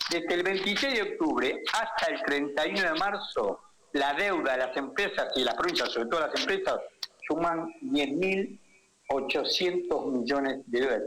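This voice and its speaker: A man with a high pitch at a moderate pace, very wide pitch swings and very even loudness, over noticeable background noise. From Argentina, Tucumán. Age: 70s. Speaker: economist. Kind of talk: radio interview.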